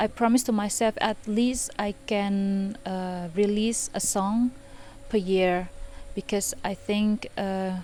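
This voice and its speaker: A woman with an Indonesian accent, medium in pitch, at a very slow pace and fairly even intonation, over noticeable background noise. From Indonesia, Medan, North Sumatra. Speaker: composer and electronic musician. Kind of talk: interview monologue. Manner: hesitant, many fillers.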